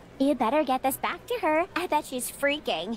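A put-on, high-pitched character voice at a moderate pace, with clear background noise

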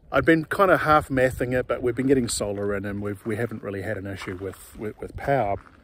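The sound is dry, with no echo. There is light background noise. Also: man. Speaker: off-grid homesteader vlogger. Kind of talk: casual vlog chat. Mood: relaxed, self-deprecating humor. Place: forest. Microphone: phone near.

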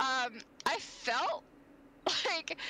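This woman's voice is raised and projected, with a high pitch. Her tone is bright and sharp. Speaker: gaming streamer. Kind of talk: casual gaming chat. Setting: online voice chat. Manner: animated, playful.

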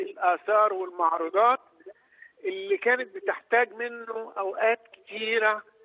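A man's high-pitched voice at a moderate pace, lively in intonation, with a dry, close sound and no echo.

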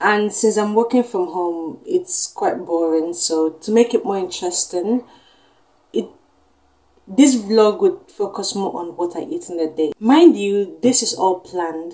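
Against a quiet background, a woman speaks at a fairly slow pace with lively intonation. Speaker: vlogger. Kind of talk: casual vlog chat. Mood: playful, chatty. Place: home room.

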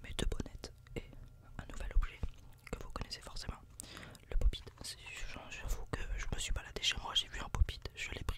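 A soft-spoken man whispering, with long, frequent pauses. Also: moderate pace. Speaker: ASMR creator. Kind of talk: casual ASMR vlog chat. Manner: soft close-mic ASMR whisper. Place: home room. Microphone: studio mic.

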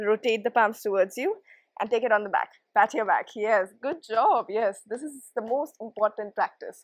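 A woman's fairly high voice with ordinary pitch variation, dry with no echo, against a quiet background. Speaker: yoga instructor. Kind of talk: guided yoga class with calm, step-by-step cues and encouragement. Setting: home or studio video for online viewers. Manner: soothing, gentle, and encouraging; slow, even pacing with positive praise. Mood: calm, encouraging.

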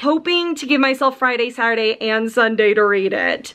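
Her pitch shifts in an ordinary way as the woman talks at a moderate pace. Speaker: book vlogger. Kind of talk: casual vlog chat. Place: home room. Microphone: phone near.

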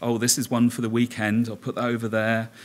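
Intonation stays monotone and flat as a man talks at a moderate pace. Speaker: conference presenter. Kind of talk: conference talk. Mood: humorous storytelling. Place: hall. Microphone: podium.

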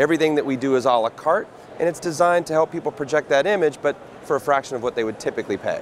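Talking at a very fast pace with ordinary pitch variation, a man comes through in a dry sound with no echo over light background noise. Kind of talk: interview answer. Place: studio. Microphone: lapel.

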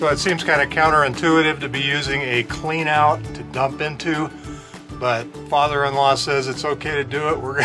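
A man speaks at a moderate pace with monotone, flat intonation. Clear music plays in the background. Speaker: RV owner vlogger. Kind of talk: casual vlog chat. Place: open country. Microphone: phone near.

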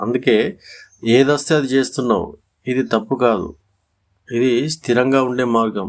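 An ordinary speaking voice from a man, medium pitch and fairly even intonation, in a very clean recording with a silent background. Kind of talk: motivational voice-over.

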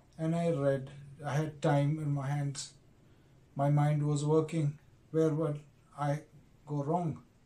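In a dark, mellow, somewhat breathy voice, a man speaks with monotone, flat intonation and long, frequent pauses. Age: 50s. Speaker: stroke survivor. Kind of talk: personal health story to camera. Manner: slow. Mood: earnest, reflective. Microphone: phone near.

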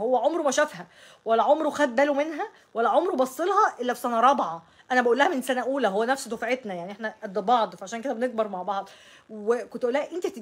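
Talking at a very fast pace in an Egyptian accent, a woman uses a high pitch, very wide pitch swings and an animated tone. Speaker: astrology YouTuber. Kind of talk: casual monologue to camera. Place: home room.

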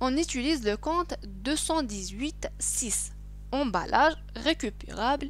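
A woman in an Algerian accent at a moderate pace, with music in the background. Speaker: accounting teacher. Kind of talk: screen-recorded lesson.

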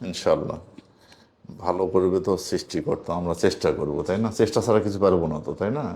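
The man's voice is very deep and low, with a dark, mellow tone and ordinary pitch variation. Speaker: spiritual healer. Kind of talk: live healing session.

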